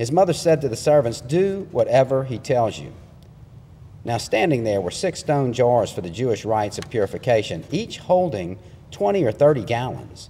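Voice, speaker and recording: A man with a dark, mellow tone moves through very wide pitch swings at a moderate pace. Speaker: preacher. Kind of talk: sermon. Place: church.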